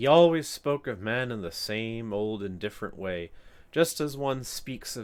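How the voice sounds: The intonation is lively in a natural reading voice.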